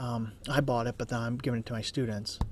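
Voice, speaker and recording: A man whispering quietly at a fairly quick pace. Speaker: college instructor. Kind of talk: tutorial. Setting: office cubicle.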